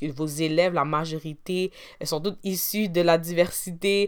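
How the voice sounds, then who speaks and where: A woman's fairly low-pitched voice, an ordinary speaking voice with fairly even intonation, on a very clean recording with a silent background. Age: 20s. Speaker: podcast host and university student. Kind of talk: solo podcast monologue.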